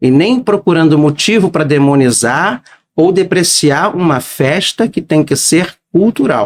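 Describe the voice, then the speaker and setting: In a dry, close recording with no echo, a man with a fairly high pitch speaks at a fairly slow pace with lively intonation and very even loudness. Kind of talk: casual podcast interview. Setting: studio.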